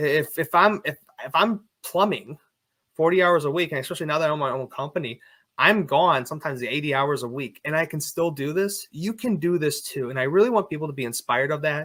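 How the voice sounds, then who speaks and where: Loud and very fast, a man speaks with a bright, sharp tone and a fairly high pitch. His pitch varies in an ordinary way, and the recording is very clean with a silent background. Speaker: plumber and online faith content creator. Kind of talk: interview conversation.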